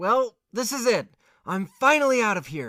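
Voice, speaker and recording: High-pitched and raised, a man projects his voice in a put-on character voice with lively intonation at a moderate pace. The sound is dry and close with no echo. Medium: audio drama. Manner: stammering.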